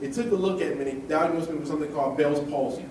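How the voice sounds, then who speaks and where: A man talks at a very fast pace with ordinary pitch variation. Audible room echo and noticeable background noise surround his voice. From Michigan, US. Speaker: motivational speaker. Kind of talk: motivational speech. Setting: stage with live audience.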